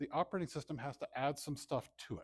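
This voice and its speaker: Somewhat breathy mumbling at a moderate pace, dry and close with no echo. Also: man. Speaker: computer science professor. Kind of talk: conference talk.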